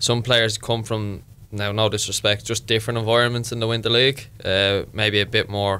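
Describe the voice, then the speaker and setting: In a bright, sharp tone, a man with a fairly low pitch speaks at a fairly quick pace with monotone, flat intonation. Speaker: footballer and podcast co-host. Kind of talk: casual chat.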